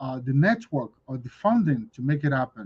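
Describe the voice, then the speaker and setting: A man talks at a moderate pace, his voice somewhat breathy, with ordinary pitch variation. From Nigeria. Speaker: business expo organizer, host. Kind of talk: livestream talk.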